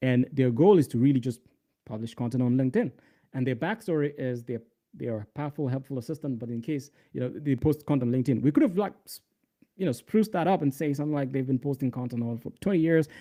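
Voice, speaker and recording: A man with a non-native accent, medium-pitched, dark and mellow in tone, at a very fast pace with ordinary pitch variation. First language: not English. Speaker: developer relations lead and livestream tutor. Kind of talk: live coding tutorial. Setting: livestream. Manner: casual, filler-heavy.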